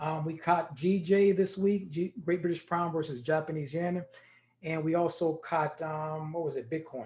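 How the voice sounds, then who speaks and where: An ordinary speaking voice: a man with fairly high pitch, fairly even intonation and a moderate pace. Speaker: trading educator. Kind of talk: tutorial.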